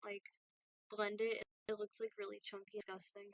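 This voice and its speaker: The voice has an American accent. Its intonation is fairly even. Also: woman. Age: 20s. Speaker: YouTuber and doll artist. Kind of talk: casual live-stream talk while crafting.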